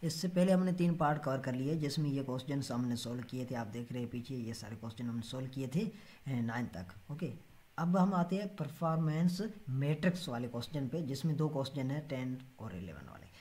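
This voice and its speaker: This man has a fairly high, somewhat breathy voice, speaking at a moderate pace with lively intonation. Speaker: Excel data analysis tutor. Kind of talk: tutorial. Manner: halting, many filler sounds.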